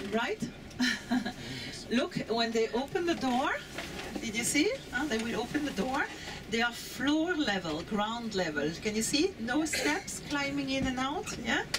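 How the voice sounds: A woman's fairly high voice at a fairly slow pace, with big pitch swings and clear background noise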